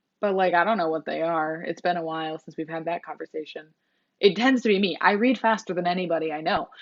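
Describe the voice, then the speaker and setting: Talking at a very fast pace, a woman has a fairly low pitch and ordinary pitch variation. Her loudness swings widely. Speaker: booktuber. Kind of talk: casual vlog talk. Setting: filming on a phone. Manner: animated. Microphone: mobile phone recording.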